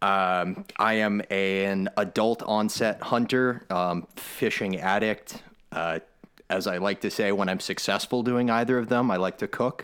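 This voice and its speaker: Recorded very cleanly against a silent background, a man speaks fairly slowly at a fairly low pitch, with fairly even intonation and very even loudness. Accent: American. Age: 30s. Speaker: writer and hunter. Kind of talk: casual chat. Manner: halting.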